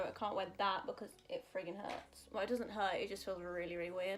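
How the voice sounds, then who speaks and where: A soft-spoken woman talks with a British accent. Her pitch is medium and her intonation fairly even. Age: 20s. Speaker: singer and beauty vlogger. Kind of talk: casual chat.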